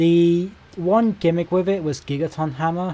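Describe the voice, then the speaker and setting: British-accented speech from a man. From Britain. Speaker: gaming streamer. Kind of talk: casual live-stream commentary. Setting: live stream. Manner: monotone.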